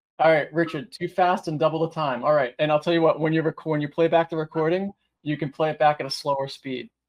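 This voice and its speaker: A man at a very fast pace with fairly even intonation. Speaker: IT trainer. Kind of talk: webinar tutorial. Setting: online webinar. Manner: hesitant fillers.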